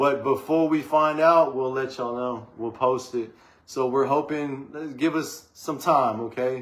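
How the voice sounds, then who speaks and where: This man speaks at a fairly slow pace, his pitch medium and his intonation fairly even. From Texas, Waco. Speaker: rapper and songwriter. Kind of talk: casual podcast interview. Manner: clear enunciation.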